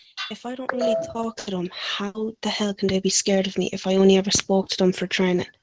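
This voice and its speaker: A woman speaks at a medium pitch and a fairly quick pace with fairly even intonation, in a dry, close sound with no echo, with music in the background. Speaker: online roleplay gamer. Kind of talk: in-character roleplay argument.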